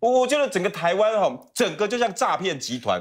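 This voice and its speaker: With a high pitch, the man speaks at a fairly quick pace. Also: quiet background. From Taiwan. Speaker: talk show guest commentator. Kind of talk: talk show panel debate. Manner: animated. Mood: indignant, critical. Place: studio. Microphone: lapel.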